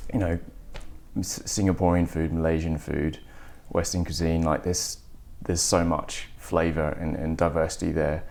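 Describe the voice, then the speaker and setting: Speaking with an Australian accent, a man with a very deep, low pitch talks at a moderate pace in a monotone, flat intonation, leaving long, frequent pauses. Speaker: restaurant entrepreneur. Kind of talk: interview. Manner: halting, repeats words.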